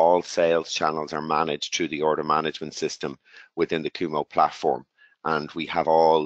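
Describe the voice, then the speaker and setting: A man with an Irish accent talks at a fairly quick pace in a very deep, low pitch, his intonation monotone and flat and the sound dry and close with no echo. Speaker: tech company executive. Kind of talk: webinar presentation. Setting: webinar call.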